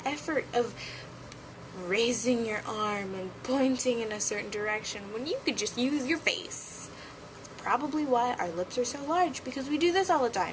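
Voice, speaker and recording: Very wide pitch swings in a woman's high voice, moderately paced, with noticeable background noise behind it. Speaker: vlogger. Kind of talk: casual vlog monologue.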